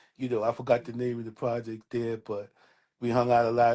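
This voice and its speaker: Over a silent background in a very clean recording, a man with a New York accent speaks at a medium pitch in a dark, mellow tone. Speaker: hip hop DJ and artist. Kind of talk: casual interview chat.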